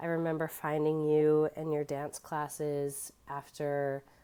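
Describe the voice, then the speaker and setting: A woman's very deep, low voice with a dark, mellow tone at a fairly slow pace, in a very clean recording with a silent background. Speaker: podcast host. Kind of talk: casual chat.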